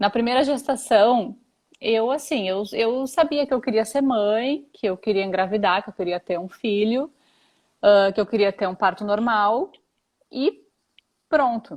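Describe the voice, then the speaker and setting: Speaking at a fairly slow pace, a woman with a fairly high pitch and ordinary pitch variation leaves long, frequent pauses. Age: 30s. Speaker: mother sharing pregnancy experiences. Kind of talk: interview testimony. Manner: halting.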